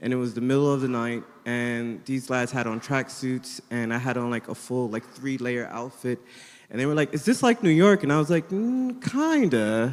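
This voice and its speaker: A man speaks with an American accent in a normal speaking voice at medium pitch. His pace is moderate, and his pitch variation is ordinary. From United States. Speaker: artist, panelist. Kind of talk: panel discussion.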